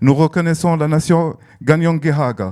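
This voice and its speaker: With fairly even intonation, the man's voice sits at a fairly high pitch. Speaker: festival director. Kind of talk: prepared speech. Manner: hesitant, many fillers.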